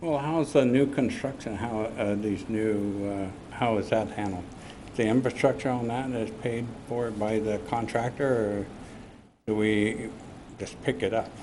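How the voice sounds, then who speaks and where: A man's medium-pitched voice, dark and mellow in tone, at a fairly slow pace with fairly even intonation and audible room echo. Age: 70s. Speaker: resident speaking at public hearing. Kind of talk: public testimony. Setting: city council meeting. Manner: halting.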